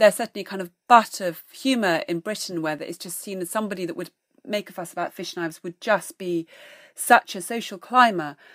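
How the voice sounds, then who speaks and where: A woman in an unremarkable speaking voice talks at a fairly quick pace and medium pitch with ordinary pitch variation, in a very clean recording with a silent background and a dry, close sound with no echo. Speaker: food writer and historian. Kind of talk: interview, explanatory talk.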